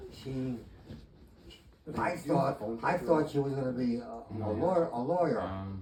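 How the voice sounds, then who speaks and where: A man talks with lively intonation against noticeable background noise. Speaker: retired chemistry teacher. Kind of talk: interview answer.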